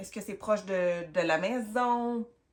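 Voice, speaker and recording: A woman with a Quebec accent, very slow pace and ordinary pitch variation. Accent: Québécois French. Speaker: career coach. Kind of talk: advice talk to camera. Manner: casual, hesitant with fillers.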